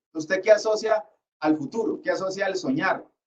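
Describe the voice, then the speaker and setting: A man speaks with lively intonation. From Colombia, Cali. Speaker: lecturer. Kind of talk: lecture.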